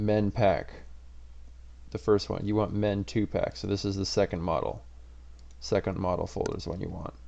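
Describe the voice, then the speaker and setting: The tone is dark and mellow with vocal fry. Pitch swings very widely between long, frequent pauses. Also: man, fairly low pitch for a man. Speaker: tech tutorial youtuber. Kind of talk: tutorial. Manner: fast; casual.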